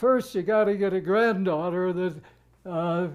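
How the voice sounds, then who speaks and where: A man speaks very slowly in a high voice with ordinary pitch variation. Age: 80s+. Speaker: retired orthodontist. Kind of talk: interview answer.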